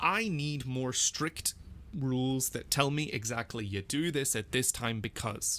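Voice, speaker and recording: An animated man with a Northern Irish accent, his bright, sharp tone set at a medium pitch with ordinary pitch variation. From Northern Ireland. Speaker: language teacher and learner. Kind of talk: casual screen-recorded language practice commentary. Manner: animated, with repetitions and fillers.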